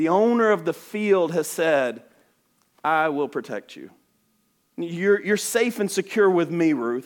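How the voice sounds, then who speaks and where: High-pitched man with a Southern US accent, lively intonation and long, frequent pauses, on a very clean recording with a silent background. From US South, Alabama. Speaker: missionary. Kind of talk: sermon. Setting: church. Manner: fast talker.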